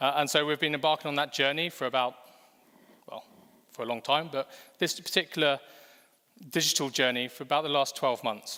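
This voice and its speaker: With an English accent, a man speaks in a bright, sharp tone with fairly even intonation. His pace is fairly quick, yet long, frequent pauses break it up. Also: fairly high pitch for a man. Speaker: fintech executive. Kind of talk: conference presentation. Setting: stage with audience.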